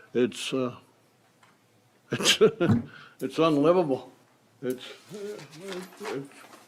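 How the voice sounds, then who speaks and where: With a Southern US accent, a man speaks at a very slow pace and fairly high pitch, with ordinary pitch variation and long, frequent pauses. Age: 60s. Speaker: homeowner applying for flood buyout. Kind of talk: public comment at meeting. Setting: county commission meeting room.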